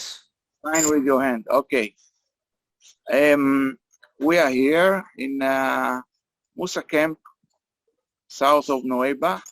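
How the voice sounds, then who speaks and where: Talking at a very slow pace with long, frequent pauses, a man uses a fairly high pitch and ordinary pitch variation, in a dry, close sound with no echo. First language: Hebrew. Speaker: meeting facilitator. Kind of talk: online group meeting. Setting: video call from a beach camp. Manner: halting.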